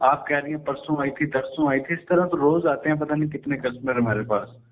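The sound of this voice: A man at a fairly quick pace, with audible room echo. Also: fairly high pitch for a man, ordinary pitch variation.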